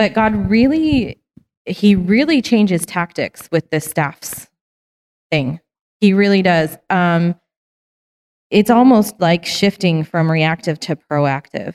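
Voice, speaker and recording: Lively in intonation, a woman at medium pitch speaks very slowly with long, frequent pauses. The sound is dry and close, with no echo. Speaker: Bible study participant. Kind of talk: group discussion comment. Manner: hesitant, tentative.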